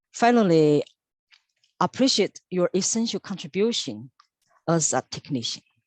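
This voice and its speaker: A woman's medium-pitched voice in a Chinese accent, very wide pitch swings, moderate pace with long, frequent pauses, dry and close with no echo. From China. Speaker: senior lab technician. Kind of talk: interview.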